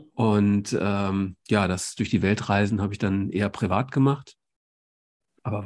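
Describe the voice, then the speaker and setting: The very clean recording has a silent background. A man with a normal speaking voice talks at a fairly low pitch with ordinary pitch variation. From Germany. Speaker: podcast host, doctor. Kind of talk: interview.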